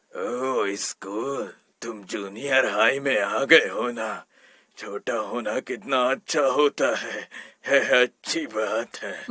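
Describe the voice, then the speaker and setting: Using a put-on character voice, a man speaks very slowly in a raspy, medium-pitched tone with ordinary pitch variation and a dry, close sound with no echo. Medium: fan dub. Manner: slow, doting.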